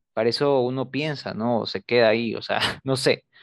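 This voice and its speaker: A man's medium-pitched voice with ordinary pitch variation, dry and close with no echo, over a quiet background. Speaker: student podcast co-host. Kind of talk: casual chat. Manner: reserved, few words.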